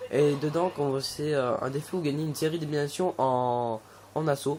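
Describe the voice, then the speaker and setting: Over noticeable background noise, a man talks at a fairly high pitch with fairly even intonation. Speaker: gaming youtuber. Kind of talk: gameplay commentary. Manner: fast; hesitant, many fillers.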